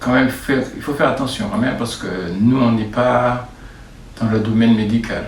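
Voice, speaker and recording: With noticeable background noise and audible room echo, a man at medium pitch talks at a moderate pace in a monotone, flat intonation, leaving long, frequent pauses. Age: 70s. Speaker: sports club vice-president. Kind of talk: interview. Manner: halting.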